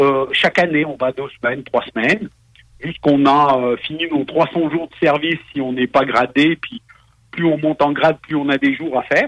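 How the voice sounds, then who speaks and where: A man with fairly high pitch talks at a moderate pace with fairly even intonation. The sound is dry and close, with no echo. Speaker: foreign correspondent. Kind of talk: interview. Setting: remote call.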